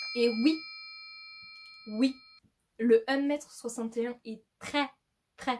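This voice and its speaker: A woman speaks in a fairly high voice. Her intonation stays fairly even. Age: 20s. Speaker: YouTuber. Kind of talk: casual vlog talk to camera. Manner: halting, many fillers.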